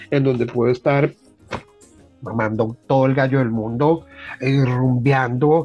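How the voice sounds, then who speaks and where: With music in the background, the talking moves at a moderate speed. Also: man. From Colombia, Bogotá. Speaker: artist. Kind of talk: interview. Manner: animated.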